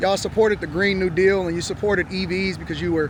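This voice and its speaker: A man's high-pitched, very fast speech amid noticeable background noise. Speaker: street interviewer and political commentator. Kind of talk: heated debate. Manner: animated.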